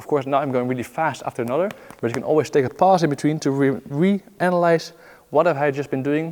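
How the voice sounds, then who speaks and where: Talking at a very fast pace, a man keeps his pitch fairly high. His pitch variation is ordinary. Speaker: juggling teacher. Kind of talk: tutorial. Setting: filming himself while practising. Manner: counting aloud rhythmically.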